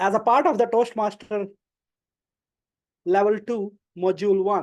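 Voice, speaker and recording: Someone with an Indian accent speaks at a moderate pace. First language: not English. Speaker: club member giving a speech. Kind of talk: prepared speech.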